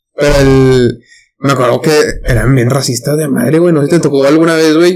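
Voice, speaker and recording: The man's intonation is fairly even. He talks very fast. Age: 20s. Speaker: podcast co-host. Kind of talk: casual chat.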